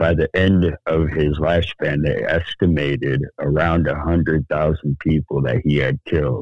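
A man with an American accent and a very deep, low pitch, at a moderate pace with fairly even intonation. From Sacramento, California. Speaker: podcast co-host. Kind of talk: casual chat.

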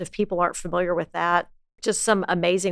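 A woman with an American accent speaks at a fairly low pitch, her intonation fairly even. It is an unremarkable speaking voice. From US South, Lake Charles, Louisiana. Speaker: community foundation president. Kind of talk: interview.

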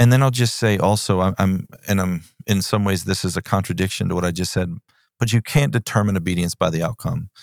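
Delivered at a very fast pace in a Texan accent, the speech has ordinary pitch variation. The sound is dry and close with no echo, on a very clean recording with a silent background. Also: man, fairly low pitch for a man. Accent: Texan American. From South Texas. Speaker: pastor. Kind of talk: casual chat.

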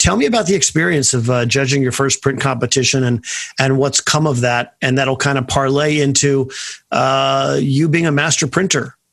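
A man with an American accent talks at a moderate pace in an unremarkable speaking voice, fairly high-pitched with ordinary pitch variation. The recording is very clean, with a silent background. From US West Coast, Bay Area. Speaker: podcast host, event photographer. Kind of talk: interview.

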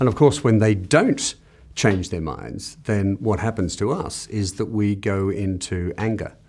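A man with an Australian accent speaks at a fairly slow pace and fairly low pitch with ordinary pitch variation, in a very clean recording with a silent background. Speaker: business consultant and author. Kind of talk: interview excerpts. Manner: hesitant, with fillers and repeats.

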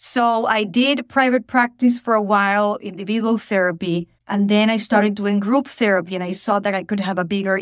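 In a dry, close sound with no echo, a woman with a Spanish accent speaks at a medium pitch. Her moderate pace has fairly even intonation and hardly any pauses. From Venezuela. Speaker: mental health counselor. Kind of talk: casual chat.

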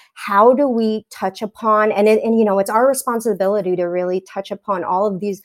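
A woman speaks with a New York accent and fairly even intonation on a very clean recording with a silent background. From New York, Staten Island. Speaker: teacher. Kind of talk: casual chat.

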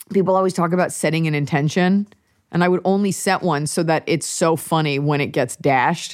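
With an American accent and a plain, everyday voice, a woman speaks at a fairly quick pace and a fairly low pitch, with fairly even intonation and very even loudness. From Dallas, Texas. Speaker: comedian. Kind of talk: casual chat.

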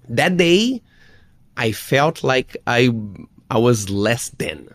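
A man with a Brazilian accent talks in a medium pitch with lively intonation. The recording is very clean, with a silent background. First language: Portuguese. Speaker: fitness expert. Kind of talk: interview. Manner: halting; humorous.

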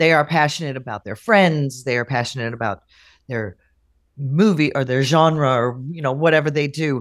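On a very clean recording with a silent background, a woman speaks at a moderate pace in an animated tone, her very deep, low pitch showing ordinary variation. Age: 50s. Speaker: guest sharing menopause experience. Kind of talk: casual chat.

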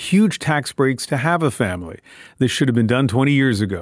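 A plain, everyday voice with a Canadian accent and lively intonation. The sound is dry and close, with no echo. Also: man. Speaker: radio call-in show host. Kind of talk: radio call-in show. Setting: radio studio.

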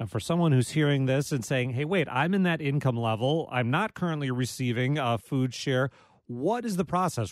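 Speaking in an ordinary speaking voice, a man with an American accent keeps a moderate pace and hardly any pauses. His pitch is medium, with ordinary pitch variation. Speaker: radio host. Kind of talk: radio call-in interview. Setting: studio.

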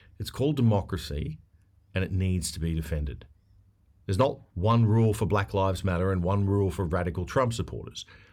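A man's very deep, low voice with an Australian accent, fairly quick and lively in intonation, on a very clean recording with a silent background. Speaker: podcast host, former newsreader. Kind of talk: casual chat.

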